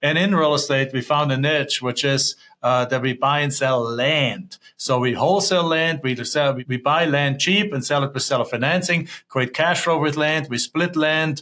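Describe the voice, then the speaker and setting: A man speaks in a German accent with a bright, sharp tone and ordinary pitch variation. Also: fairly high pitch for a man, moderate pace, hardly any pauses. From Germany. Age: 50s. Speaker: real estate investor. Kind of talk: interview.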